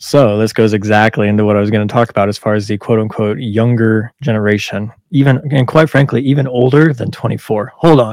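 With an ordinary speaking voice, a man talks at a fairly quick pace, medium in pitch, with ordinary pitch variation. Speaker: firefighter podcast host. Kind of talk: casual chat with swearing.

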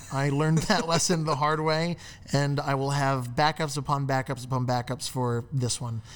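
A man speaks with a fairly high pitch. His pitch variation is ordinary. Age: 20s. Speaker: filmmaker. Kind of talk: casual chat.

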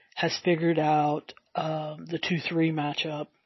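At a very slow pace, a woman with a Southern US accent speaks in a fairly low, monotone, flat voice. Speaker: sports betting podcaster. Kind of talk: podcast monologue with betting picks. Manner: somewhat halting, with fillers.

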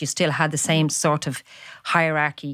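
A woman speaks with a Dublin accent. Her pace is moderate. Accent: Dublin Irish. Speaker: former striking shop office worker. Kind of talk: interview, personal testimony.

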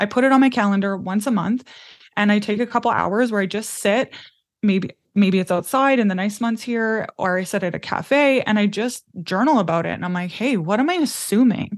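This is a woman with a normal speaking voice and a Canadian accent. Her pitch is medium, with ordinary variation. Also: fairly quick pace, quiet background. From Canadian prairies. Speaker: business mentor. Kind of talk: interview.

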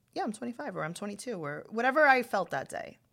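A woman with a New York accent speaks at a very fast pace, her pitch swinging very widely, with vocal fry. The recording is very clean, with a silent background. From New York, Queens. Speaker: stand-up comedian and podcast host. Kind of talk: casual chat. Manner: projecting; animated.

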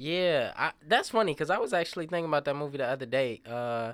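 The man talks at a fairly quick pace, his pitch varying in an ordinary way. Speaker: podcast host. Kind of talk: casual chat.

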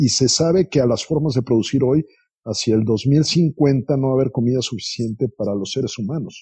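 A man speaks at a medium pitch with a dark, mellow tone that is somewhat breathy. The sound is dry and close, with no echo. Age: 50s. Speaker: business investor. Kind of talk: interview.

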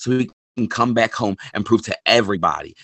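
Here a man with an American accent uses an ordinary speaking voice, medium in pitch, moving at a moderate pace with fairly even intonation. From Philadelphia, US. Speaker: podcast co-host, wrestling fan. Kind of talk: casual chat.

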